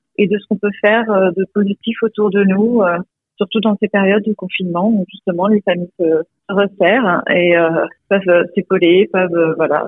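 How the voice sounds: The voice moves at a fairly quick pace with fairly even intonation and a slightly husky edge, its sound dry and close with no echo. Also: woman.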